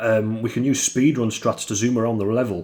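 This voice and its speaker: A man talks with fairly even intonation. Behind him, music plays. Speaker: solo game developer. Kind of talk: casual devlog talk. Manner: monotone.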